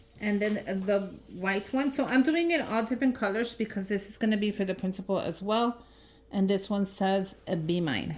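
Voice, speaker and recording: With ordinary pitch variation, a woman speaks at a medium pitch. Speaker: craft YouTuber. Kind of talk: tutorial. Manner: fast; casual, chatty.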